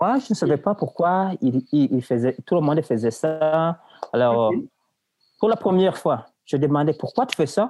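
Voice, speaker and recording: In a dark, mellow tone with very even loudness, the speaker leaves long, frequent pauses, the sound dry and close with no echo. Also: man, fairly high pitch for a man, lively intonation, fairly slow pace. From Burundi. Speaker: university student. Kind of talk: casual chat.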